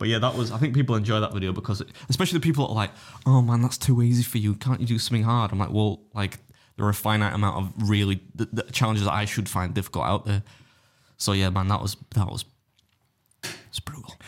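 On a very clean recording with a silent background, a man with an English accent speaks in an animated tone at a very fast pace, his pitch fairly low with ordinary variation. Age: 30s. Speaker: competitive eater and food youtuber. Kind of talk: casual chat.

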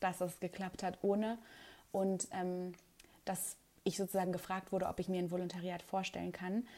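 A woman at a moderate pace. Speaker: TV reporter and presenter. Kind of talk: casual interview. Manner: hesitant with many fillers.

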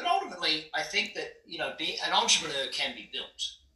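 Noticeable background noise fills the recording. Over it, a man speaks with an American accent. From Australia (Brisbane). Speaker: business coach and entrepreneur. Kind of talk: interview. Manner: blunt, direct.

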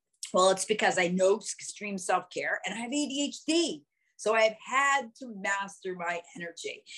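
In an ordinary speaking voice, a woman with a fairly high pitch speaks at a fairly slow pace, her intonation lively and her loudness swinging widely. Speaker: performance coach and speaker. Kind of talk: online workshop talk. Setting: video call.

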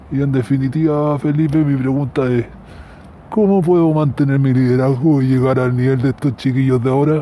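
A man speaks fairly quickly with a dark, mellow tone. His intonation is fairly even and his loudness very even. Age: 40s. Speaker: unemployed operations manager, listener. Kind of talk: recorded voice message.

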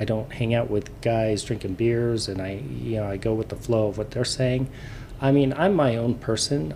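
A man speaks with a normal speaking voice at a medium pitch. His pace is moderate and his pitch variation ordinary. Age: 50s. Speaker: podcast co-host. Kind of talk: casual chat.

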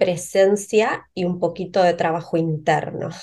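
A woman with a Rioplatense accent. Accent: Argentine Rioplatense Spanish. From Argentina, Río Negro. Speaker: pharmacist and herbal medicine entrepreneur. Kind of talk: interview.

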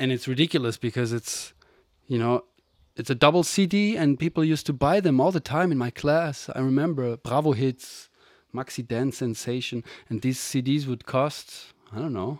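Over a very clean recording with a silent background, a man talks at a moderate pace with a German accent. His medium-pitched voice sounds dry and close, with no echo. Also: ordinary pitch variation. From Germany. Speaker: podcast host, musician. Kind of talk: casual chat.

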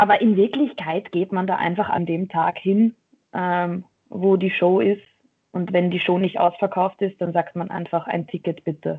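Moving at a moderate pace, a woman with a plain, everyday voice speaks in a medium pitch and fairly even intonation. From Austria, Vienna. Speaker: professional wrestler. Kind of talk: casual interview. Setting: remote call from a dojo office.

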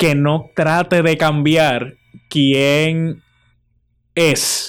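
Fairly high male voice with fairly even intonation, on a very clean recording with a silent background. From Puerto Rico, Morovis. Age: 20s. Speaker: journalist. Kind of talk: interview.

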